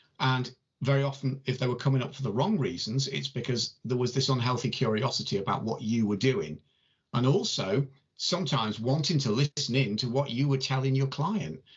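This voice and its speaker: This man's voice sits at a medium pitch with ordinary pitch variation. He talks at a fairly quick pace and sounds somewhat breathy. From northern England, between Warrington and Liverpool. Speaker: tarot reader and channel host. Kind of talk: casual chat.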